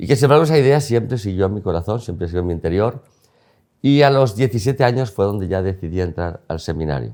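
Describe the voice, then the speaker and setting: On a very clean recording with a silent background, a man with a fairly low pitch and a dark, mellow tone talks at a very fast pace with lively intonation. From Spain (León). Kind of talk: interview. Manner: fast when excited.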